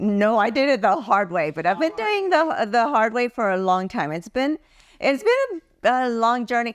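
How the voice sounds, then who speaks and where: A woman with a fairly high voice makes very wide pitch swings. The recording is very clean and the background silent. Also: moderate pace. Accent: American. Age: 70s. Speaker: beauty pageant titleholder. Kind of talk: casual chat.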